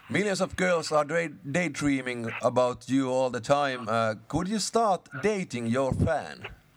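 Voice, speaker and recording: A man with a Finnish accent, a fairly high pitch and lively intonation, at a fairly slow pace with hardly any pauses. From Finland. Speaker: radio host. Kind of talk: phone interview.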